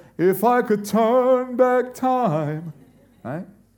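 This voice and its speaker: The speaker is a man. Room echo is audible. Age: 40s. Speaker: pastor. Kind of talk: sermon.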